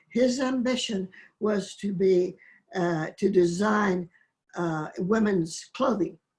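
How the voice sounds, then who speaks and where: Speaking very slowly with an American accent, a woman has a somewhat breathy, medium-pitched voice and ordinary pitch variation. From Oklahoma, US. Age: 90s. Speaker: poet. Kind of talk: interview, personal reminiscence. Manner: halting, with fillers and restarts.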